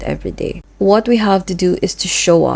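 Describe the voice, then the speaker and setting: With a Filipino accent, a woman speaks at medium pitch with ordinary pitch variation. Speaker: vlogger. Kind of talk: personal vlog monologue.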